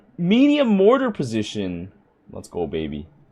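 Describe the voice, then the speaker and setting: The man's voice has a dark, mellow tone. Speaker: gaming YouTuber. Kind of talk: gameplay commentary. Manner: casual, thinking aloud; loud.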